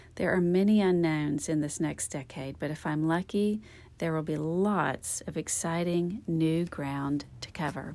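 Recorded very cleanly against silence, a woman speaks with a fairly low pitch, a dark, mellow tone and fairly even intonation. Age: 40s. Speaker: style and beauty podcast host. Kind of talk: scripted monologue.

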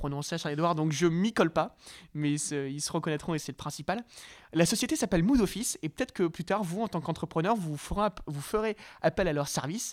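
An unremarkable speaking voice from a man, fairly high in pitch with ordinary variation, at a fairly quick pace, on a very clean recording with a silent background and a dry, close sound with no echo. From northern France, Lille. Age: 20s. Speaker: young entrepreneur. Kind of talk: interview.

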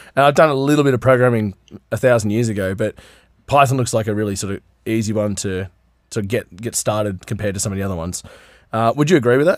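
A man with an Australian accent talks at a very fast pace, his medium pitch showing ordinary variation, on a very clean recording with a silent background. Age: 30s. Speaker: podcast host. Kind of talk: casual chat.

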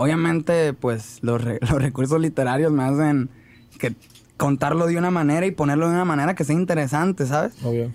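An unremarkable speaking voice, a man's, fairly high in pitch, at a fairly quick pace, with ordinary pitch variation and very even loudness. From Mexico, Ciudad Obregón, Sonora. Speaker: rapper. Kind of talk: casual interview chat.

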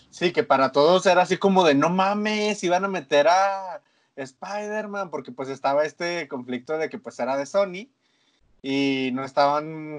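A man with a Mexican accent speaks at a fairly slow pace with lively intonation. The background is quiet. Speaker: podcast co-host. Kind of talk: casual chat.

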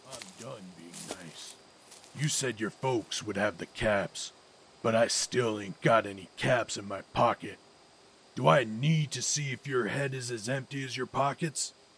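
There are big swings in loudness as a man talks at a moderate pace and medium pitch with lively intonation. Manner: menacing, coarse.

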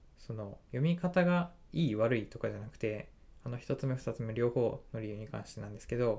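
A man's medium-pitched voice with a dark, mellow tone, lively intonation and a moderate pace. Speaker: web engineer and podcaster. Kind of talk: casual solo talk. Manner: halting with many fillers.

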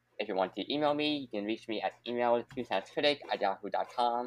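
A plain, everyday voice from a man, medium in pitch with ordinary pitch variation and a fairly quick pace, in a dry, close sound with no echo. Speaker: podcast host. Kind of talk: casual interview.

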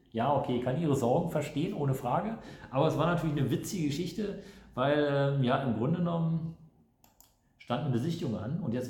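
A man's fairly high pitch with ordinary pitch variation, plus audible room echo. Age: 50s. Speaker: real estate agent. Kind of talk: casual monologue.

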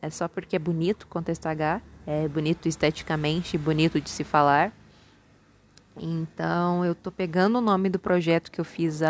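Here a woman speaks at a moderate pace. The recording is very clean with a silent background, and the sound is dry and close with no echo. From Minas Gerais, Brazil (born in São Paulo). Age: 20s. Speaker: podcast host, psychology student. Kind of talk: casual solo monologue. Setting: at home, homemade recording.

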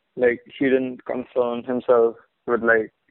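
The pace is moderate. This man's voice has a medium pitch. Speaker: podcast co-host. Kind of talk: casual chat.

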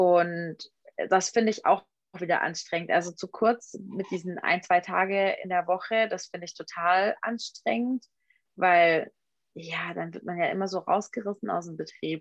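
Her loudness swings widely while her intonation stays fairly even, as a woman speaks at a medium pitch and a moderate pace. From Swabian Alb, southern Germany. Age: 20s. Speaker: photographer. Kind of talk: interview.

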